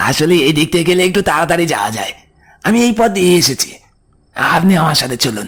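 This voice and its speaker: Using a put-on character voice, a man talks at a moderate pace in a high pitch. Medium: audio drama. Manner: urgent, coaxing.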